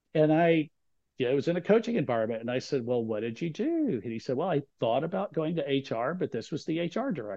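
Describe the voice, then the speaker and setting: A man's fairly high-pitched voice at a very fast pace. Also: lively intonation. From Texas. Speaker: author and LGBTQ career coach. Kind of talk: interview conversation.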